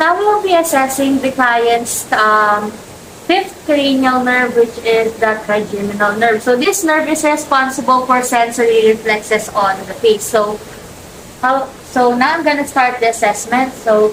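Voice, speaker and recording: A woman speaks with a Filipino accent and a high pitch. Her intonation is lively, and there is noticeable background noise. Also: fairly slow pace. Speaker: nursing student. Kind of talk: skills demonstration. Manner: halting.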